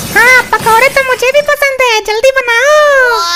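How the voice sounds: In a cartoonish character voice, a woman speaks at a fairly slow pace with extremely high pitch over noticeable background noise.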